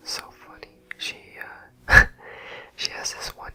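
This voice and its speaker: Over music in the background, a man whispers at a fairly slow pace. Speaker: dance teacher; ASMR creator. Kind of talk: ASMR travel vlog narration. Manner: soft-spoken.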